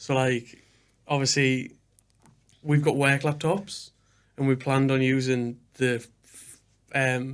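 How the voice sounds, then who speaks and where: A man with a northeast English accent, very slow and monotone with flat intonation, very even in loudness, with long, frequent pauses. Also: medium pitch for a man. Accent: north-east English. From northern England, Hartlepool. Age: 20s. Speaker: podcast host. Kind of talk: casual chat. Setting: studio.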